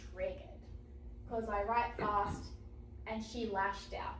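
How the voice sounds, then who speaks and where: A woman at a fairly slow pace, with audible echo from the room. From Australia. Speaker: author. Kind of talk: lecture. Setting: library talk with audience.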